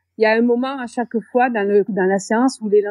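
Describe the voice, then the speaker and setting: This woman's voice sits fairly high, with ordinary pitch variation. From southern France (Béziers). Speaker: teacher. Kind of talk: interview. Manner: hesitant, many fillers.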